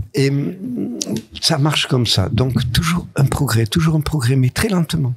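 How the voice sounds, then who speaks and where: Speaking very slowly with long, frequent pauses, a man uses a fairly high pitch and lively intonation at very even loudness. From southern France, Nice. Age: 80s+. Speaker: comics author and artist. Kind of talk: interview. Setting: studio. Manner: halting.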